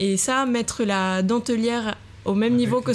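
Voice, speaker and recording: A woman speaks at a moderate pace with ordinary pitch variation. She has an ordinary speaking voice. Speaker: design student and textile designer. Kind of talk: casual interview. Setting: hot apartment, podcast recorded at home.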